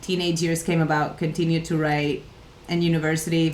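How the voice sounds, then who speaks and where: Audible room echo surrounds a woman speaking at a moderate pace in a very deep, low, flat monotone. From Catalonia, Spain. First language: Catalan. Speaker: livestream coworking host. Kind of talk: casual livestream chat. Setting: home office livestream.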